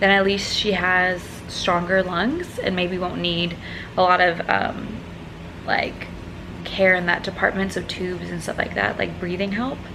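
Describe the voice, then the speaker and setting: Monotone and flat, the speech moves at a fairly slow pace through audible room echo and noticeable background noise. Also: woman, medium pitch for a woman. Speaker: vlogger. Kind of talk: personal vlog. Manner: mumbling.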